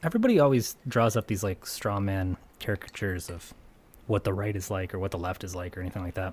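In a very clean recording with a silent background, a man speaks very fast in a fairly low, somewhat breathy voice with ordinary pitch variation. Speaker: podcast host. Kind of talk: casual banter. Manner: joking, sarcastic.

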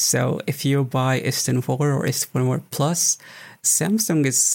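On a very clean recording with a silent background, a man at medium pitch speaks with vocal fry and ordinary pitch variation. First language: not English. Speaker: accessibility tech website and podcast host. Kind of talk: interview.

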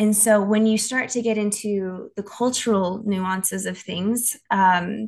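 Her medium-pitched voice is somewhat breathy, with an American accent. The woman keeps a fairly even intonation. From Tennessee, US. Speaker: missionary and nonprofit worker. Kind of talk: casual interview.

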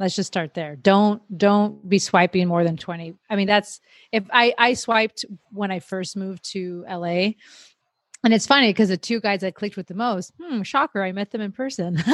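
In an unremarkable speaking voice, a woman with an American accent talks at a medium pitch and moderate pace with ordinary pitch variation, in a dry, close sound with no echo on a very clean recording with a silent background. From Miami, Florida. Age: 30s. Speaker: podcast host. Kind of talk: casual chat.

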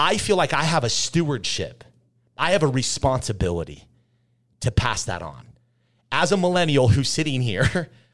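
On a very clean recording with a silent background, a man at medium pitch talks at a moderate pace with vocal fry and very wide pitch swings. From Utah. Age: 30s. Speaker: restaurant entrepreneur. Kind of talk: interview.

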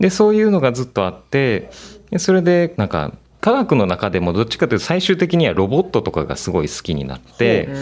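This man's pitch sits fairly high and swings very widely. He talks at a fairly quick pace. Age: 20s. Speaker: art project leader. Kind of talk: interview. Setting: video call.

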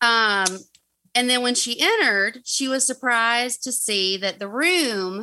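With a Southern US accent, a woman speaks in a bright, sharp tone at a fairly slow pace. Her pitch varies in an ordinary way against a quiet background. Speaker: guest storyteller. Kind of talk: narrating a true crime story.

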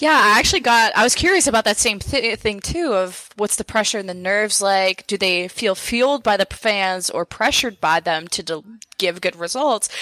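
Lively intonation and a bright, sharp tone mark this woman's voice, recorded with a dry, close sound and no echo. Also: medium pitch for a woman, moderate pace. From Montreal, Quebec, Canada. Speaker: esports caster. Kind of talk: casual chat.

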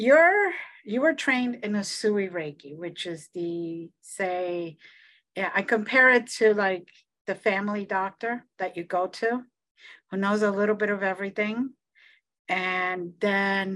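A woman's unremarkable speaking voice at medium pitch, fairly slow pace and ordinary pitch variation, over a quiet background. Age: 60s. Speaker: psychic medium and Reiki teacher. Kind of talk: casual interview chat.

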